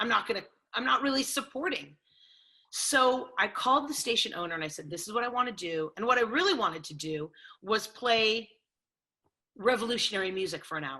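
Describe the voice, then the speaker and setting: A woman with a Californian accent, fairly high and bright, sharp in tone, at a fairly quick pace, with very wide pitch swings, big swings in loudness and long, frequent pauses. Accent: Californian American. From Los Angeles. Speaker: sports radio host. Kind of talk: interview.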